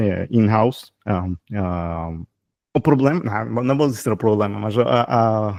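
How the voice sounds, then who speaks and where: A man with a fairly low pitch and a dark, mellow tone, lively intonation, a fairly slow pace and long, frequent pauses. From Ecuador. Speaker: software developer, channel host. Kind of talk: casual interview chat. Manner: halting, many fillers.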